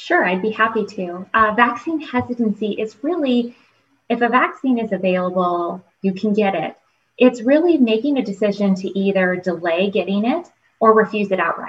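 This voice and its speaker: A woman with an American accent speaks at a moderate pace in a fairly high, somewhat breathy voice with lively intonation. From US Midwest (Toledo, Ohio). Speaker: pharmacy professor. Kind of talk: interview. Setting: video call with live audience.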